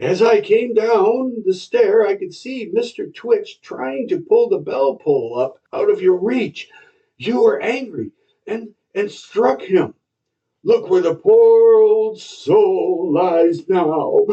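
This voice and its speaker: In a put-on character voice, a man speaks at a very slow pace with an extremely high pitch. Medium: read story. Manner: smooth, falsely earnest.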